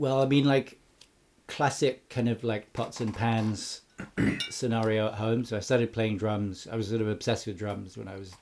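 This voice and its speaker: A man speaks at a moderate pace in a fairly low pitch with a southern English accent, his loudness swinging widely while his intonation stays fairly even, on a very clean recording with a silent background. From Cambridge, England. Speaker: musician and mastering engineer. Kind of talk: casual interview chat.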